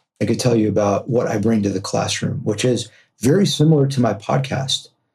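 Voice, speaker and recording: Somewhat breathy, with a dark, mellow tone, a man with a Californian accent talks at a moderate pace and medium pitch, using ordinary pitch variation. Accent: General American (California). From Los Angeles, US West Coast. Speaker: entrepreneur and podcast host. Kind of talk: interview conversation.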